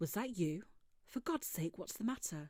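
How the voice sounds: This is a put-on character voice with a husky edge. It has a middle pitch and moves at a moderate pace. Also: female-sounding voice.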